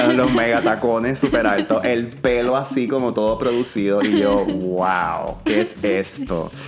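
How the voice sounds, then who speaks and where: Very slow speech from a man, noticeable background noise underneath. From Puerto Rico. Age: 30s. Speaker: publicist. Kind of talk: casual chat.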